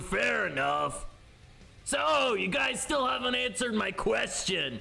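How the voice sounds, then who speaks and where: A man speaks in a put-on character voice. Light background noise sits behind him. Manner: casual, brash.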